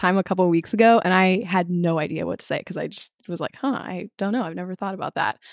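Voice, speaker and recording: A woman with a normal speaking voice, medium pitch and a fairly quick pace, in a dry, close sound with no echo on a very clean recording with a silent background. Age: young. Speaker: university student and podcaster. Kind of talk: casual chat.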